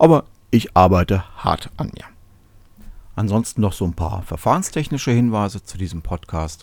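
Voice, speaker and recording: Lively in intonation, a man with a fairly low pitch talks at a moderate pace with big swings in loudness and long, frequent pauses, in a very clean recording with a silent background. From Germany, Cologne. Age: 30s. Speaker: podcast host, software developer. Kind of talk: solo podcast monologue.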